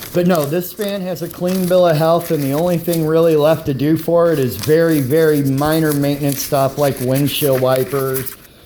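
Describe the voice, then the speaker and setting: Noticeable background noise behind a fairly high male voice, moderately paced and with ordinary pitch variation. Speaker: private seller reviewing his van. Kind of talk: casual vehicle walkthrough video. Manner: hesitant with many fillers.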